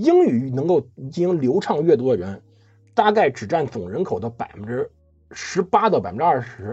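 At a moderate pace, a man with a fairly high pitch and vocal fry makes very wide pitch swings and big swings in loudness. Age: 30s. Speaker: history podcast host. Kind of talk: casual chat.

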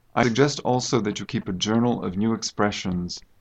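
Here a man uses a normal speaking voice at a moderate pace. His pitch sits fairly low, with ordinary pitch variation. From United States. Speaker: university English teacher. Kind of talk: interview. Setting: studio.

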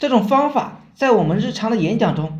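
Audible room echo surrounds a man whose high-pitched voice makes very wide pitch swings. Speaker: online marketing trainer. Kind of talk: tutorial. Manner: slow.

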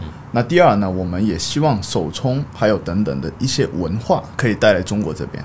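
Against noticeable background noise, a man with a fairly low pitch speaks with very wide pitch swings. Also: fairly quick pace. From Tokyo and Hong Kong. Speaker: coffee brand manager. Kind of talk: casual chat.

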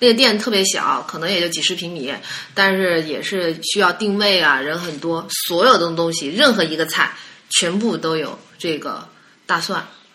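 Speaking at a moderate pace with a fairly low pitch and ordinary pitch variation, a woman is heard with audible room echo. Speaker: podcast guest. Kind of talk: casual chat.

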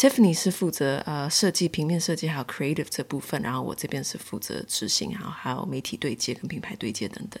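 With a Taiwanese accent, a woman speaks very fast in a very deep, low pitch and lively intonation. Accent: Taiwanese Mandarin. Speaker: market organiser and co-founder. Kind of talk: interview conversation.

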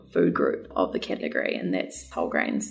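A woman speaks with a New Zealand accent at a moderate pace. Noticeable background noise sits behind her. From New Zealand, South Island farm. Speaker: nutritionist. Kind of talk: interview. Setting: studio.

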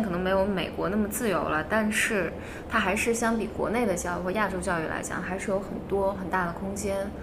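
The intonation is fairly even, heard through audible room echo and noticeable background noise. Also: woman. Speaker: psychology researcher. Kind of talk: casual chat.

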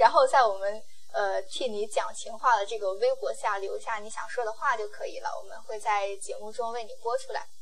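Audible room echo surrounds a woman who speaks with hardly any pauses and big swings in loudness. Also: moderate pace. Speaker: podcast host. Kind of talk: casual solo podcast monologue. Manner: casual, occasional stumbles.

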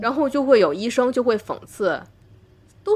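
Speaking in a Tianjin accent, a woman keeps a moderate pace. Her fairly high voice has vocal fry. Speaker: doctor and podcast host. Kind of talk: casual chat.

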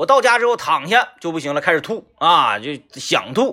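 A man's raised, projected voice, bright and sharp in tone, with very wide pitch swings. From Northeast China. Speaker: radio host. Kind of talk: casual monologue. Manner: animated.

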